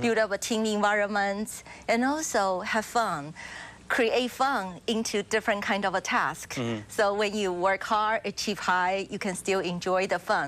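Her pitch varying in an ordinary way, a woman speaks at a fairly slow pace. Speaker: guest. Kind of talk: interview answer. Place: studio.

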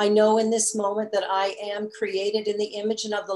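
Light background noise sits behind the voice. A woman speaks at a moderate pace. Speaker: minister. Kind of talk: sermon. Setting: church. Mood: calm, meditative. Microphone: video call.

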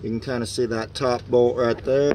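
A man's voice comes through dry with no echo, with noticeable background noise around it. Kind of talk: tutorial. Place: street. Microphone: phone near.

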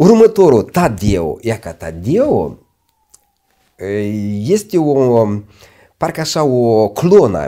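Speaking very slowly with long, frequent pauses, a man uses a dark, mellow tone at medium pitch, with very wide pitch swings and big swings in loudness. The background is quiet. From Moldova. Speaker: lawyer and law professor; lawyer, law professor. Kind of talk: interview. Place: studio. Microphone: lapel.

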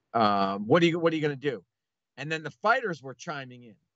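A man's fairly high voice at a fairly quick pace, dry and echo-free, over a quiet background. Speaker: podcast guest. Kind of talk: casual podcast talk. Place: home room.

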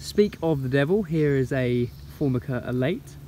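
A man, dry sound with no echo, light background noise. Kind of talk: casual vlog chat. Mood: enthusiastic. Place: forest. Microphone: phone near.

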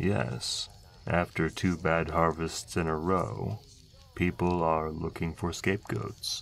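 A man puts on a character voice with a very deep, low pitch. He speaks at a fairly slow pace over clear background noise. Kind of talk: softspoken ASMR roleplay. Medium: audio drama. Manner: calm, courteous, measured.

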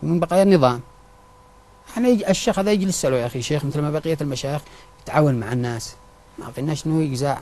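Over noticeable background noise, a man with a fairly high pitch talks at a fairly quick pace with lively intonation, broken by long, frequent pauses. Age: 30s. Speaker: surgical nurse, victim of abuse. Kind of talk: testimony.

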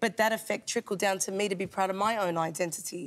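Talking at a fairly quick pace, a woman with an Australian accent shows ordinary pitch variation. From Sydney, Australia. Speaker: hip-hop journalist and author; hip-hop journalist. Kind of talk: TV interview. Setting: TV studio. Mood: warm, animated, enthusiastic. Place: studio. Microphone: lapel.

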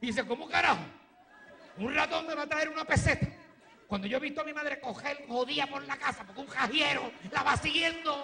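An extremely high-pitched man speaks in a raised, projected voice at a fairly quick pace, with ordinary pitch variation. He takes long, frequent pauses over light background noise. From Puerto Rico. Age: 40s. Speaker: comedian. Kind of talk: stand-up. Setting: stage with audience. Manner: animated. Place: stage. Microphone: handheld.

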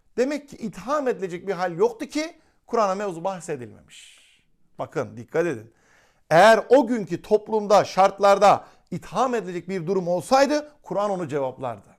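In a very clean recording with a silent background, a man with a high pitch speaks at a moderate pace, with very wide pitch swings and big swings in loudness. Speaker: Islamic religious teacher. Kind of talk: lecture.

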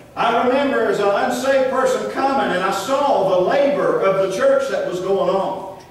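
Strong room echo surrounds a man whose warm voice is extremely high in pitch, varying in pitch in an ordinary way as he speaks with hardly any pauses. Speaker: preacher. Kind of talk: sermon. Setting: church. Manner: earnest, unhurried preaching cadence with pauses and repeated phrases; warm, exhorting, plainspoken. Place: church. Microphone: camera far.

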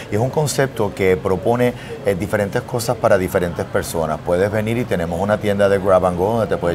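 Someone talks at a very fast pace in a Puerto Rican accent with ordinary pitch variation, over noticeable background noise. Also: man. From Puerto Rico. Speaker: chef and restaurant owner. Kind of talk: interview. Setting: in his restaurant. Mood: proud, promotional. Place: cafe.

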